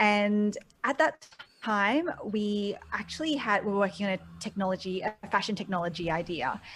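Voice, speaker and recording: A woman with an Australian accent, medium in pitch, with lively intonation at a moderate pace. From Australia (Sydney). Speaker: e-commerce business mentor. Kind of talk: interview.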